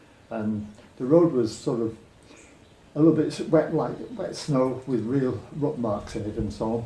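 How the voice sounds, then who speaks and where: Somewhat breathy with a dark, mellow tone, the voice carries lively intonation through audible room echo. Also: man. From Britain. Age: 70s. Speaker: retired cyclist. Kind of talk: interview.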